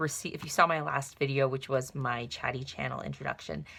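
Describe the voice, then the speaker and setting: The woman here is soft-spoken. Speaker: lifestyle vlogger. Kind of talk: casual product flip-through. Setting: at home, night. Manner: quiet, soft-spoken; hesitant with fillers.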